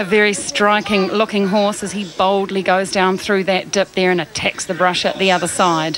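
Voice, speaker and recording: With noticeable background noise behind her, a woman speaks at a moderate pace in a medium pitch with a monotone, flat intonation. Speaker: TV sports presenter. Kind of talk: live sports commentary.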